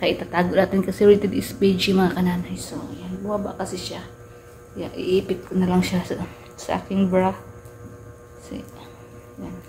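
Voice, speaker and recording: A soft-spoken woman at a moderate pace, big jumps in loudness, noticeable background noise behind her. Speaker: vlogger. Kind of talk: casual unboxing vlog. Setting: at home at night.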